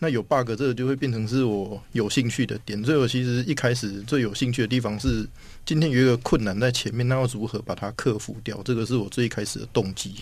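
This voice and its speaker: A man talks in a plain, everyday voice, medium in pitch, against a quiet background. His intonation stays fairly even. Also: fairly quick pace. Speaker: software engineer. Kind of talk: casual interview chat.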